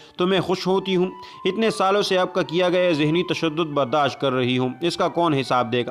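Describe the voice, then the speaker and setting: With music in the background, a man talks at a high pitch with ordinary pitch variation. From Pakistan. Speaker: voice over artist. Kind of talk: moral story narration.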